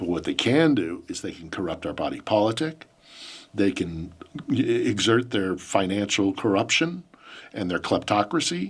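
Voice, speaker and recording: On a very clean recording with a silent background, a man with an American accent and an ordinary speaking voice talks at a moderate pace with fairly low pitch and lively intonation. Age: 50s. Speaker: journalist and podcast host. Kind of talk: interview answers. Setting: studio.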